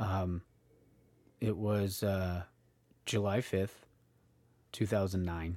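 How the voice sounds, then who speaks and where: A man's very deep, low voice with a dark, mellow tone, flat monotone delivery at a very slow pace, long and frequent pauses, and a very clean recording over a silent background. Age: 30s. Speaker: podcast host. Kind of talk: solo monologue. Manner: halting, many fillers.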